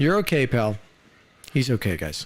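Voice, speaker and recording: A man with a medium-pitched voice is heard against noticeable background noise. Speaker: gaming live streamer. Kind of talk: casual live stream chat.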